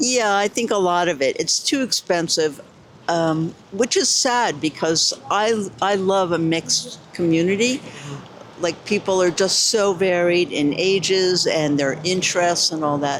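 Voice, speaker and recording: With a New York accent, a woman speaks fairly slowly at a fairly low pitch, with ordinary pitch variation and very even loudness, over noticeable background noise. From New York City. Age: 70s. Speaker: interviewee. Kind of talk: street interview.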